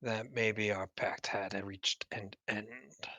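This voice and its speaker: In a raspy, put-on character voice, a man speaks very slowly at a fairly low pitch. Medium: actual play. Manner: archaic, formal.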